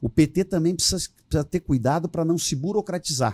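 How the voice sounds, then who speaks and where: This somewhat breathy voice has a dark, mellow tone and lively intonation, moving at a moderate pace in a dry, close sound with no echo. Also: man. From southern Brazil (Rio Grande do Sul). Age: 60s. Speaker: politician. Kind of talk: podcast interview.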